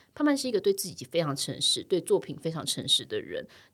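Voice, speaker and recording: A woman at a very fast pace on a very clean recording with a silent background. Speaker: podcast host. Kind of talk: interview.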